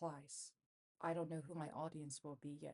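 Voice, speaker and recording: A woman's very deep, low voice, dry and close with no echo. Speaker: vlogger. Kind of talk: vlog monologue. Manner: slow with long pauses; halting, self-correcting.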